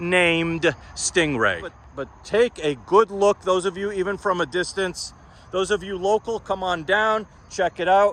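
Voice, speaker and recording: A man with a high pitch projects a raised voice in an animated tone. His intonation is lively and his pace moderate. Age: 60s. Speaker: classic car dealer and mechanic. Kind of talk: sales pitch.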